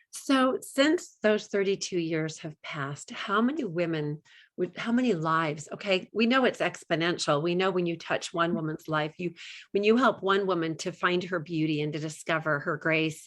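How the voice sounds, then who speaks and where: A woman talks at a moderate pace with an ordinary speaking voice, fairly low in pitch. The background is quiet. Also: ordinary pitch variation. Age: 60s. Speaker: podcast host. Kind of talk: interview.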